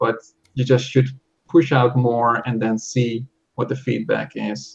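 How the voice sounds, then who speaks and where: At a fairly slow pace, a man with a Dutch accent speaks at a medium pitch, sounding somewhat breathy. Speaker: software developer. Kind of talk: interview. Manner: halting.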